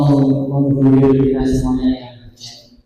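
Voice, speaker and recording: There is audible room echo around a man whose voice sits fairly high in pitch. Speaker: Islamic preacher. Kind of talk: sermon. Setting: mosque. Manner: soft-spoken. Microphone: too quiet at first.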